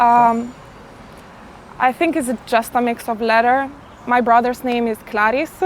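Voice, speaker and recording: Her intonation fairly even, a woman speaks in a high pitch at a fairly slow pace, leaving long, frequent pauses. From Italy. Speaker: interviewee, Albanian immigrant. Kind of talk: interview. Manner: hesitant with fillers.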